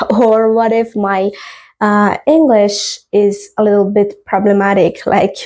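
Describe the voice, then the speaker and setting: At a very slow pace, a woman with a non-native accent speaks in a dark, mellow tone, with fairly even intonation and very even loudness. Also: medium pitch for a woman. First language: not English. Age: 20s. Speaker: podcast host. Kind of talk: casual podcast monologue. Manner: hesitant, many fillers.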